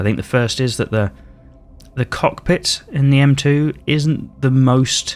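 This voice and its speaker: A man is speaking. Music plays in the background. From Britain. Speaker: gaming YouTuber. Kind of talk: gameplay commentary. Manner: casual, hesitant with fillers.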